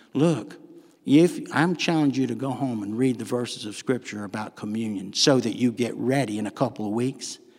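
With a Southern US accent, a man talks at a moderate pace with lively intonation in a very clean recording over a silent background. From US South. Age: 60s. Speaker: pastor. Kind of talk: sermon. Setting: church.

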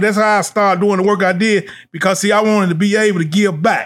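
High pitch and fairly even intonation from a man. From Nashville, Tennessee (inner city). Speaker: school administrative assistant, youth mentor. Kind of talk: life story interview. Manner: repetitive filler, stammering repeats.

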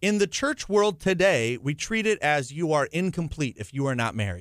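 Over a very clean recording with a silent background, a man with a fairly high pitch swings very widely in pitch at a moderate pace. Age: 20s. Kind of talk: radio interview. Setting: radio studio.

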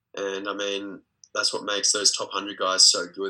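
Speech moves at a moderate pace. It is delivered with an Australian accent. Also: man. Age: 20s. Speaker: professional tennis player. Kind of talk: interview.

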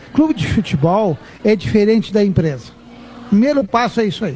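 Against noticeable background noise, a man talks at a moderate pace with very wide swings in pitch. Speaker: football club president. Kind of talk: casual chat. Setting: live radio broadcast from a bar.

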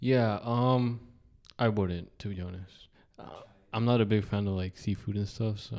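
In a normal speaking voice, a man talks at a fairly low pitch and moderate pace, with fairly even intonation and big swings in loudness. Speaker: podcast host. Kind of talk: casual chat.

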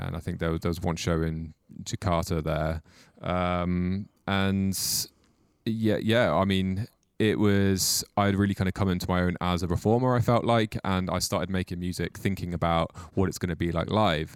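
Over a very clean recording with a silent background, a man speaks in a very deep, low pitch with fairly even intonation. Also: moderate pace. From Mid Wales. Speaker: musician. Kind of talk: casual chat.

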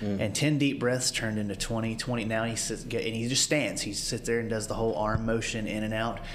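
With a Southern US accent, the speaker's pitch varies in an ordinary way. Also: man. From rural Alabama. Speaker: paramedic and family caregiver. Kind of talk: casual chat.

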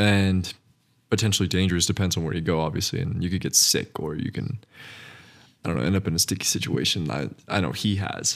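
Talking at a very fast pace with an American accent, a man uses a very deep, low pitch with vocal fry and ordinary pitch variation. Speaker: podcast co-host. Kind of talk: casual chat. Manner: enthusiastic.

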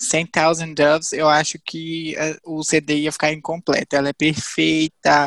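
A man speaks at a fairly slow pace with a high pitch. The sound is dry and close with no echo, on a very clean recording with a silent background. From Viçosa, Minas Gerais, Brazil. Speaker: geography student. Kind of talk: casual chat.

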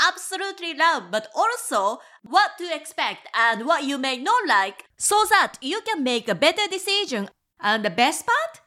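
A woman's raised, projected voice with a Japanese accent, very wide pitch swings, and a fairly slow pace. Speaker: travel guide and podcast host. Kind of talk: scripted podcast monologue.

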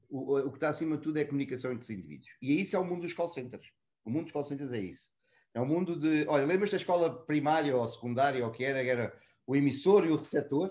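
A man with a fairly high voice speaks very fast. His pitch moves in an ordinary way. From born in Mozambique, raised in Portugal (Lisbon south bank). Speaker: customer experience and contact center professional. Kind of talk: casual interview.

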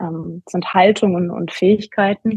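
A woman's somewhat breathy voice sits at medium pitch with fairly even intonation. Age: 40s. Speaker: coach and competitive runner. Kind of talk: interview. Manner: halting, many fillers.

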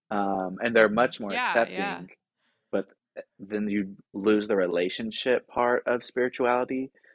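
An American accent marks this man's unremarkable speaking voice, fairly low in pitch, with fairly even intonation at a moderate pace in a dry, close sound with no echo. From US South, Tennessee (small town outside Nashville). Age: 20s. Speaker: social work master's student and rehab counselor. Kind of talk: casual interview chat. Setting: home, guest in host's living room.

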